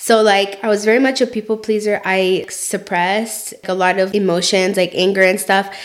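Against noticeable background noise, a woman speaks in a medium pitch with monotone, flat intonation at a fairly quick pace with hardly any pauses. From immigrant background. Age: 20s. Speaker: podcast co-host. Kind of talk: casual chat.

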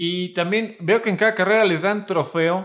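This man talks fairly slowly, his high pitch showing ordinary variation. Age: 20s. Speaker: podcast co-host. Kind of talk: casual chat.

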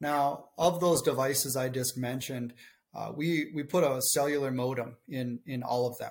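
Somewhat breathy man at medium pitch, with a strong Minnesotan accent and fairly even intonation. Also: moderate pace. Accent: Minnesotan, thick. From southern Minnesota. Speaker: marketing and business development director. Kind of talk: casual interview chat.

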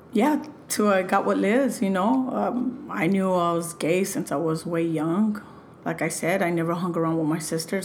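A woman's voice sits fairly low in pitch, with lively intonation. Audible room echo surrounds it. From Los Angeles, California. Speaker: interview guest. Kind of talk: casual chat. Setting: at home.

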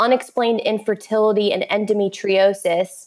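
A woman with an American accent speaks slowly at a fairly high pitch in a plain, everyday voice. The recording is very clean, with a silent background. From Florida, Orlando. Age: 30s. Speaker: author and infertility support group leader. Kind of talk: interview about personal experience.

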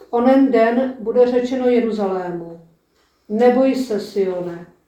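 In an ordinary speaking voice, a woman talks at a fairly slow pace with a fairly high pitch and ordinary pitch variation. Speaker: lay lector. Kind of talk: reading aloud.

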